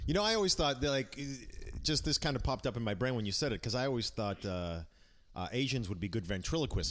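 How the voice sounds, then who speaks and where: A man with an American accent speaks at a medium pitch, with vocal fry. His pitch swings very widely. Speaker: comedian. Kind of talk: casual chat.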